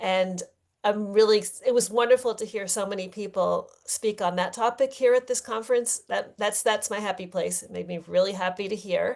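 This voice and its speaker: Showing vocal fry and big swings in loudness, a woman speaks with fairly even intonation. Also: medium pitch for a woman, moderate pace. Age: 60s. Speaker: bisexuality activist and educator. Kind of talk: conference talk.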